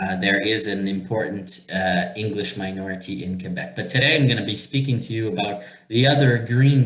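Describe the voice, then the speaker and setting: In audible room echo, a man talks in a fairly low voice with ordinary pitch variation. Noticeable background noise is present. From Northern Ontario, Canada (Sudbury). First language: French. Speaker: representative of a francophone minority organization. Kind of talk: webinar presentation. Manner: halting, many fillers.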